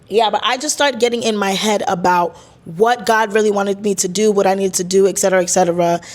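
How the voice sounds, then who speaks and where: At a very fast pace, a woman talks in a medium pitch with fairly even intonation. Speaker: podcast host. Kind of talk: casual monologue.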